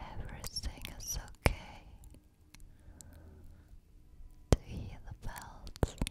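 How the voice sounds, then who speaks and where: Whispering and soft-spoken, a woman talks at a very slow pace in a soothing tone, with a dry sound with no echo but loud background noise. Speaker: ASMR creator. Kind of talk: soft-spoken ASMR affirmations. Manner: soft, close-mic soothing whisper. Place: studio. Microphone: studio mic.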